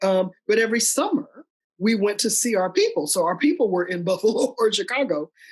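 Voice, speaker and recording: A fairly quick, somewhat breathy delivery with lively intonation in an American accent. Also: woman, fairly high pitch for a woman. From US South, North Carolina. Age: 60s. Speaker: lawyer and leadership consultant. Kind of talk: interview. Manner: halting.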